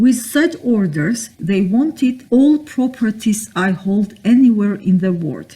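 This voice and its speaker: Speaking very slowly with hardly any pauses, a woman uses a fairly high, somewhat breathy voice with a dark, mellow tone and lively intonation. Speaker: self-styled judge and author. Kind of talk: spoken talk or lecture with voice-over. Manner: indignant, accusatory.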